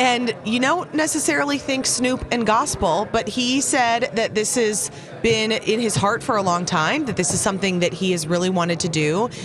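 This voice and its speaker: With noticeable background noise behind her, a woman with a fairly high voice speaks at a moderate pace with hardly any pauses, very even loudness and lively intonation. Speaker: entertainment news reporter. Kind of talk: casual chat, entertainment gossip.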